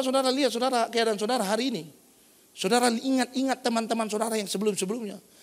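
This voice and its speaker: Speaking at a very fast pace, a man uses an extremely high pitch and an animated tone. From North Sumatra, Indonesia (Batak). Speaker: pastor. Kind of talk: sermon. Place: church.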